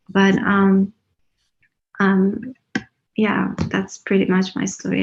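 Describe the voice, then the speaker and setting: A woman speaks at medium pitch in a somewhat breathy voice. Her intonation is monotone and flat. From Iran. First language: Persian or Kurdish. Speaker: writer. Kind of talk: panel discussion.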